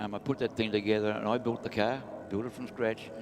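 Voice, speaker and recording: Noticeable noise surrounds a man who talks at a fairly quick speed. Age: 80s+. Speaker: retired drag racer. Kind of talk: casual interview. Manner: halting.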